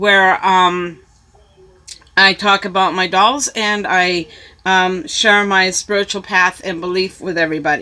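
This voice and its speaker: A woman with an American accent speaks at a very slow pace. Her medium-pitched voice has a bright, sharp tone. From US West (California, Arizona). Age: 60s. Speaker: YouTuber. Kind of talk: casual vlog. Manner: hesitant, many fillers.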